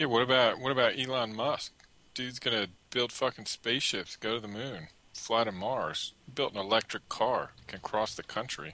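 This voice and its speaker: With a bright, sharp tone, a man talks at a medium pitch and a moderate pace, his pitch varying in an ordinary way. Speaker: co-host. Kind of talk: casual podcast banter.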